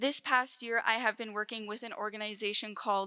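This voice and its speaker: A woman talks at a fairly quick pace with a western Canadian accent. Her voice is fairly high, with a bright, sharp tone. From southeastern British Columbia, Canada. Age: 20s. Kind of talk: keynote presentation. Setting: conference stage at podium.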